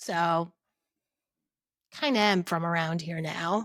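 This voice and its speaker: Speaking with a strong New Jersey accent, a woman sounds bright, sharp and animated in a very clean recording with a silent background. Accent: thick New Jersey. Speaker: podcast co-host. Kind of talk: casual chat.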